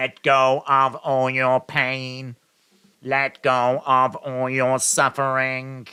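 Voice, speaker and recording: A man puts on a robotic character voice at a medium pitch, monotone and flat. He speaks at a very slow pace. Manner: flat, mechanical.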